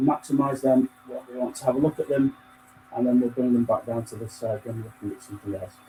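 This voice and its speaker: Against noticeable background noise, the speech races at a very fast pace with fairly even intonation and big swings in loudness. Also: man, medium pitch for a man. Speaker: software product demonstrator. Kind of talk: software demo over screen share. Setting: video call with screen sharing. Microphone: faulty microphone, too quiet.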